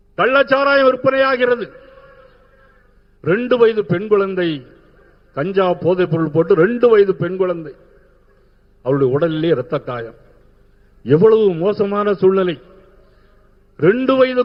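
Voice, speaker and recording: A man with a southern Tamil Nadu accent and very wide pitch swings. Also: high pitch for a man. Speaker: politician. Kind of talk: political rally speech.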